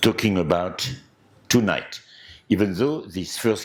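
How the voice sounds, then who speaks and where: The recording is very clean with a silent background. A man speaks at a fairly low pitch in a French accent. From France. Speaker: anthropologist lecturer. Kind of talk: lecture. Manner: hesitant, with filler words.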